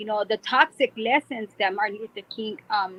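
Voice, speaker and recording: At a moderate pace, a woman with an American accent uses a normal speaking voice with ordinary pitch variation, the sound dry and close with no echo. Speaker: online show host. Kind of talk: casual chat.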